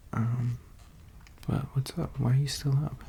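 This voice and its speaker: A man whispers, soft-spoken. His pace is fairly slow. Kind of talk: casual talk to camera, friend roleplay. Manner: whispered, soft-spoken.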